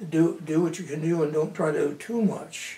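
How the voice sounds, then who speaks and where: Over noticeable background noise and audible room echo, a man with an Upper Midwest accent talks at a fairly slow pace, his fairly high pitch held in fairly even intonation. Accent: Upper Midwest American. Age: 80s+. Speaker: local historian. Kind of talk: oral history interview. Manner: halting.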